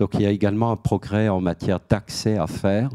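Against a quiet background, a man with a fairly low pitch and a dark, mellow tone speaks at a moderate pace. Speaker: head of a debt-counselling association, panelist; guest. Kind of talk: panel talk; panel discussion answer. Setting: auditorium with audience. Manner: hesitant, many repeated words. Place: hall. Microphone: handheld.

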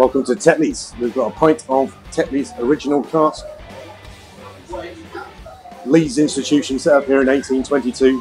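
A man speaks with music in the background. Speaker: pub crawl vlogger. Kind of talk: casual vlog chat. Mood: relaxed, cheerful. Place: bar. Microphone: lapel.

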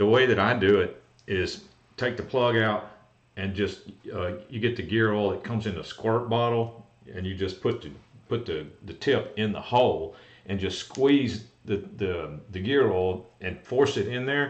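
Audible room echo surrounds a man talking at a moderate pace with ordinary pitch variation. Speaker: golf cart repair host. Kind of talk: livestream Q&A explanation. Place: office. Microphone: webcam.

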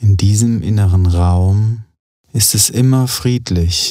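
Calm and soothing, a man speaks very slowly at a fairly low pitch with fairly even intonation. His tone is dark and mellow. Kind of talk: guided meditation. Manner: slow, calm, soothing.

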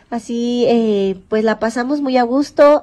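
This woman's voice sits fairly high in pitch and carries a dark, mellow tone. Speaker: lifestyle vlogger. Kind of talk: casual vlog narration. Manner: warm, animated.

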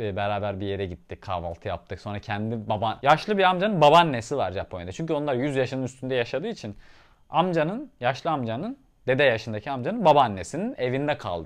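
A man at a fairly quick pace, with very wide pitch swings, over a quiet background. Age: 20s. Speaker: travel vlogger. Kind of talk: casual vlog, house tour and Q&A. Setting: at home. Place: home room. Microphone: lapel.

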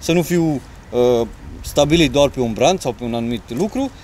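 A man at a fairly quick pace, lively intonation, over light background noise. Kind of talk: interview answer. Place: waterside.

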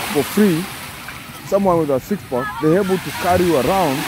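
A moderate pace over noticeable background noise. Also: dry sound with no echo. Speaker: vlogger filming. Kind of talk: casual vlog commentary. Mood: joking, teasing. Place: beach. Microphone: phone near.

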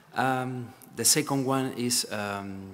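A man speaks with a Spanish accent and fairly even intonation. Light background noise is present. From Spain. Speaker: presenter. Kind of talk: conference panel talk. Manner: halting. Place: hall.

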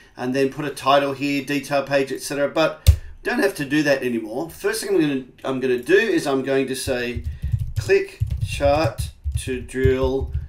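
Over music in the background, the speaker talks at a fairly slow pace with ordinary pitch variation. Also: man. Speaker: software trainer. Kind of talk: tutorial. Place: home room.

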